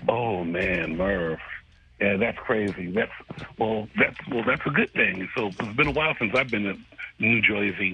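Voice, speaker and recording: Music plays in the background as a man speaks at a fairly slow pace. His pitch is fairly low, with ordinary variation. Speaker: caller. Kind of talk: casual chat. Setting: phone call. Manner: animated.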